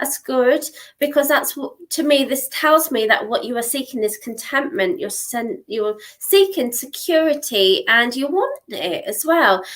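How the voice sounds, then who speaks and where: Her intonation is lively as this woman talks at a fairly slow pace. She has a high-pitched voice. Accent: southern English. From southern England. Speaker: psychic tarot reader. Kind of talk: live-stream psychic reading. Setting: live stream. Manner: warm, chatty.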